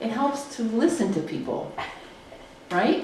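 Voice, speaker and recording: A woman speaks at a moderate pace in a Wisconsin accent, her pitch swinging very widely. Room echo is audible, and background noise is noticeable. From Wisconsin, Grafton. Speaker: political science professor. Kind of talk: public interview conversation.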